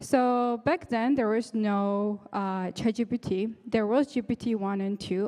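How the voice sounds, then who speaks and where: Speaking slowly-ish in a dark, mellow tone, a woman with a non-native accent has a fairly high pitch and ordinary pitch variation, at a fairly slow pace. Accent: noticeable non-native English. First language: not English. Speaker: startup founder, tech speaker. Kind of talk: conference talk. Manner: halting.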